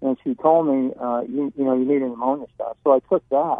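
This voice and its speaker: In an unremarkable speaking voice, a man talks at medium pitch and a fairly quick pace with fairly even intonation. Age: 60s. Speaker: retired military caller. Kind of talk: casual chat.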